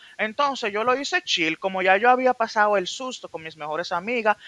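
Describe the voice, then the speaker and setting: A man speaks at a fairly quick pace in a raised, projected voice with lively intonation, the sound dry and close with no echo. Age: 20s. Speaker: industrial psychologist guest. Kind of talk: casual chat.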